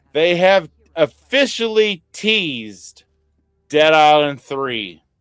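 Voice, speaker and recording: Very slow speech with very wide pitch swings, dry and close with no echo, over background music. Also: man, fairly high pitch for a man. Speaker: gaming podcast host. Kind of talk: casual chat.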